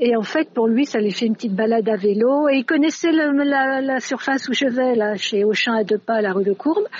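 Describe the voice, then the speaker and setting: A woman talks at a moderate pace with lively intonation. Her pitch sits high. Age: 60s. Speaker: retired French teacher. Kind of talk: interview.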